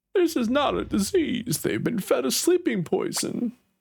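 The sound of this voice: A put-on character voice with a high pitch moves at a moderate pace.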